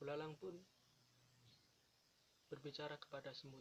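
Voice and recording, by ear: A moderate pace carries the speech. Its intonation is fairly even. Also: man, fairly high pitch for a man.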